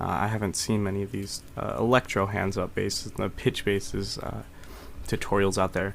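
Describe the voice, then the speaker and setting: A soft-spoken man with vocal fry talks at a moderate pace, his fairly low pitch carried in fairly even intonation. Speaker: music production tutor. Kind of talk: tutorial. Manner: soft-spoken, quiet; casual, hesitant with fillers.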